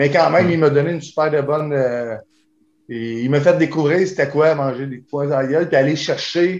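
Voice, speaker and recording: In a Quebec accent, a man with a fairly high voice speaks at a moderate pace with fairly even intonation. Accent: Québécois French. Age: 40s. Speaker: kickboxer. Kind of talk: interview.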